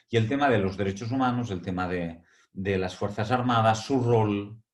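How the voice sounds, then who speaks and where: Speaking at a moderate pace, a man talks with a Catalan accent. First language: Catalan (speaking Spanish). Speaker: academic speaker. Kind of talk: webinar lecture. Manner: hesitant, frequent fillers.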